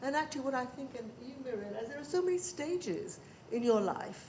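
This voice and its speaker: The speaker moves at a fairly quick pace with very wide pitch swings. Noticeable background noise runs underneath. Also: woman. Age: old. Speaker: audience member at panel event. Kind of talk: audience question at panel discussion.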